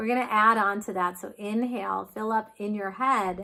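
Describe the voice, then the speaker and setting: The voice has a bright, sharp tone and fairly even intonation at a fairly slow pace. The recording is very clean, with a silent background. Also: woman. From United States. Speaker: yoga teacher. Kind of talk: guided breathwork class.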